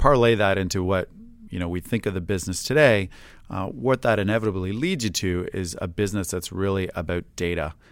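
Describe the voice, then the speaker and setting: On a very clean recording with a silent background, a man with a Canadian accent talks at a fairly quick pace. He has a fairly low pitch, ordinary pitch variation and a normal speaking voice. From Canada (Hamilton, Ontario), Greek immigrant family. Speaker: tech entrepreneur, startup CEO. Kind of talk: interview.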